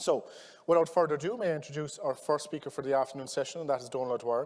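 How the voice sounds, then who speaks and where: A man speaks with a West Cork accent and ordinary pitch variation. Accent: West Cork Irish. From Ireland, West Cork. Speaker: conference chair. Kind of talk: conference introduction.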